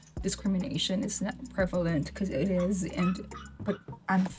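Noticeable background noise fills the clip. Through it, a woman talks at a moderate pace. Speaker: reaction video host. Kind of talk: casual vlog chat. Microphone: webcam.

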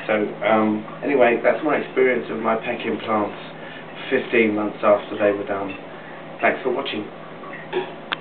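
Over noticeable background noise, a man speaks at a fairly slow pace. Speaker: vlogger sharing cosmetic surgery experience. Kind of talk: personal video update. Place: bathroom. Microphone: webcam.

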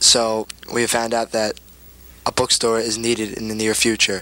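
A man speaks at a moderate pace with a bright, sharp tone and fairly low pitch. His intonation is monotone and flat.

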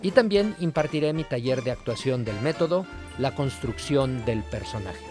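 A man with a Mexican accent speaks at a moderate pace with very wide pitch swings, the sound dry with no echo and clear music in the background. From Mexico. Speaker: voice actor and dubbing director. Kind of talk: promotional message to camera. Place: studio.

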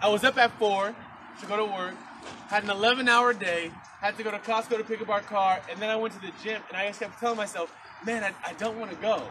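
Over light background noise, a man talks in a raised, projected voice at a fairly quick pace with fairly even intonation. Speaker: preacher. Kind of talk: sermon. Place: garden. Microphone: camera far.

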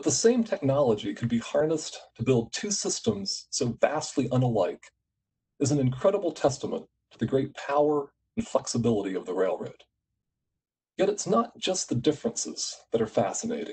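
An American-accented man speaks at a fairly high pitch with a dark, mellow tone and vocal fry. His pitch swings very widely. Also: moderate pace. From US, West Virginia. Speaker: executive director of a photography nonprofit; conference host, presenter. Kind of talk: conference presentation. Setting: online video conference. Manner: formal. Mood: warm, reflective. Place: home room. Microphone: video call.

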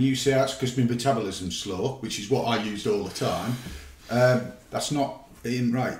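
A man speaks with audible room echo. Light background noise sits under his voice. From England. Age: 50s. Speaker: retired police officer; interview guest. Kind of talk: casual chat; interview answer. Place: home room.

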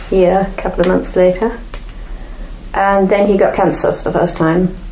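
A woman at a medium pitch talks amid audible room echo and noticeable background noise. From North Devon, England. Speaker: photographer's widow. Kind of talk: interview.

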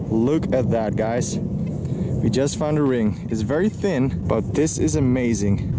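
Despite loud background noise, a man's voice comes through dry with no echo and ordinary pitch variation. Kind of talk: casual vlog chat. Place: forest. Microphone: phone near.

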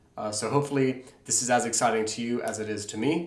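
A man speaks with fairly even intonation. Room echo is audible. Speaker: online seller tutor. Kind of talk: tutorial. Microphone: webcam.

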